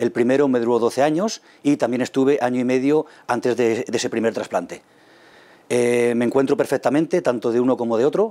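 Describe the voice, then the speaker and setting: A man speaks at a fairly quick pace with very even loudness. His tone is dark and mellow. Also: ordinary pitch variation. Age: 40s. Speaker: kidney transplant patient. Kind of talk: testimony. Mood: calm, grateful. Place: meeting room. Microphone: lapel.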